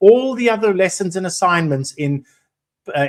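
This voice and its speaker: Speaking at a moderate pace, a man is heard. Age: 60s. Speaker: business analyst career mentor. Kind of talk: live webinar presentation. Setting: online live stream. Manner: hesitant, many fillers.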